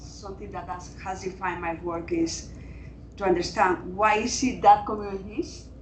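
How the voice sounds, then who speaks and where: Audible room echo surrounds a woman speaking at a moderate pace with a Latin American accent. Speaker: climate adaptation researcher. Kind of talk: panel discussion.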